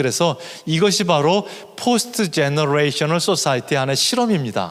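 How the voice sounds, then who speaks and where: Lively in intonation and fairly high in pitch, a man with an unremarkable speaking voice talks at a moderate pace. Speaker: professor of missiology. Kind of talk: lecture.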